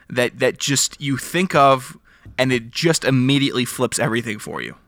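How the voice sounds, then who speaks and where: He talks at a moderate pace in a normal speaking voice. His pitch is fairly high for a man. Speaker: podcast co-host. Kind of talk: casual chat. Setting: remote recording, separate locations.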